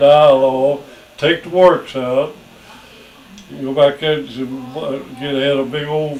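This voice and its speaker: A man with a fairly high pitch talks at a very slow pace with long, frequent pauses. His loudness swings widely, and noticeable background noise is present. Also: fairly even intonation. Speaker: family elder recounting childhood stories. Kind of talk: casual family interview storytelling.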